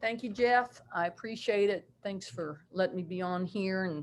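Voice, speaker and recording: At a moderate pace, a woman with a West Virginia accent speaks at a medium pitch with ordinary pitch variation. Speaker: basketball coach. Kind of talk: video call presentation.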